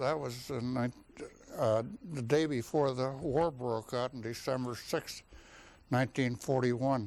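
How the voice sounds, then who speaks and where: In an Upper Midwest US accent, a man speaks at a medium pitch and a fairly slow pace. His intonation is fairly even, with long, frequent pauses. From North Dakota. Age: 70s. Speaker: war veteran. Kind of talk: oral history interview. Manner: halting.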